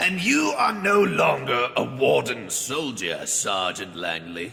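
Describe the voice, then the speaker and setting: Putting on a character voice, a man talks at a fairly slow pace with very wide pitch swings. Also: medium pitch for a man. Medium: audio drama. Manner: mocking, laughing.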